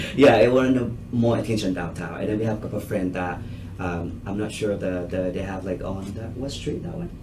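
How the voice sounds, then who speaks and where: The pitch varies in an ordinary way. Room echo is audible, and background noise is noticeable. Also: man, fairly low pitch for a man, fairly quick pace. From Thailand. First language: Thai. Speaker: restaurant owner. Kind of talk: business proposal to a committee. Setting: public committee meeting. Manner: halting.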